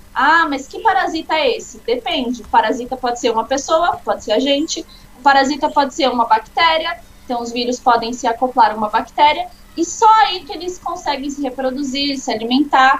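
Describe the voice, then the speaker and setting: Her voice is high, her intonation lively, her pace fairly quick. This woman's loudness swings widely over noticeable background noise. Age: 20s. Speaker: biology student and Pathfinder instructor. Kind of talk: informal lesson in a live chat. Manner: casual, explanatory.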